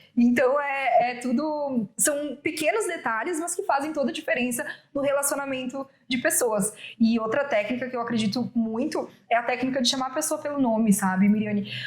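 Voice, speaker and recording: Her voice is high-pitched, and this woman uses ordinary pitch variation. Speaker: women's business mentor. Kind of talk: interview. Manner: fast.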